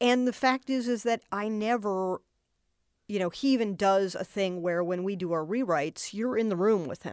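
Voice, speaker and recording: Heard through a dry, close sound with no echo on a very clean recording with a silent background, a woman with an American accent and an unremarkable speaking voice speaks at a medium pitch with ordinary pitch variation. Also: moderate pace. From Boston, US. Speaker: television writer-producer. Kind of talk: interview.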